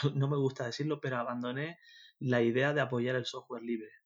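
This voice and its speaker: A man speaks against a quiet background. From Canary Islands (Tenerife). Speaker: freelance web developer. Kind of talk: interview. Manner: halting, many fillers and repetitions.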